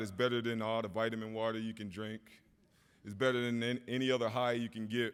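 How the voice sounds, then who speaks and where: In a very clean recording with a silent background, a man with an American accent speaks fairly quickly at a fairly low pitch. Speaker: hall of fame inductee, former football player. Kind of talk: acceptance speech. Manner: halting, off the cuff.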